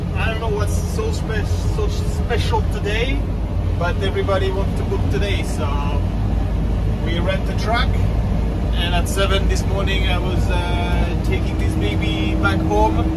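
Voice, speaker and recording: Amid loud background noise, the speech moves at a fairly slow pace with ordinary pitch variation and long, frequent pauses. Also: man. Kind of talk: casual vlog chat. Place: car.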